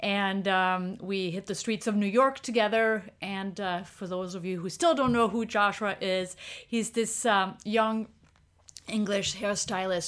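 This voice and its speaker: Speaking at a fairly slow pace, a woman with a French accent keeps a medium pitch and fairly even intonation. The recording is very clean, with a silent background. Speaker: street photographer and workshop leader. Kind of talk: casual interview chat.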